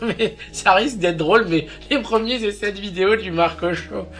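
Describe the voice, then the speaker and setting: Noticeable background noise surrounds a man whose moderately paced speech shows ordinary pitch variation. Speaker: YouTuber. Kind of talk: casual vlog monologue. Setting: alone on camera. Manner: halting, many fillers.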